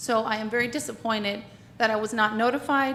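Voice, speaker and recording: The woman's voice is loud, with a fairly high pitch and a bright, sharp tone. Audible room echo comes through. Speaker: public commenter, retired teacher. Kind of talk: public comment at council meeting. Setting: city council meeting.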